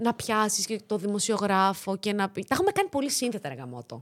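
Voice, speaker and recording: Recorded dry and close with no echo, a woman with a fairly high pitch talks at a moderate pace, her pitch swinging very widely. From Greece, Thessaloniki. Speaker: actress and latin dancer. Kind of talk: casual interview chat.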